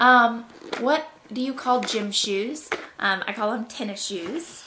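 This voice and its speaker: Speaking at a very slow pace with ordinary pitch variation, a woman with a Southern US accent comes through noticeable background noise. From Georgia, USA. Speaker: mother. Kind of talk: casual talk to camera. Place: home room. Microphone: camera far.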